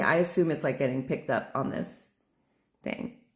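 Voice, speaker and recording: A woman's voice comes across as somewhat breathy. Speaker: vlogger. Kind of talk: casual vlog monologue.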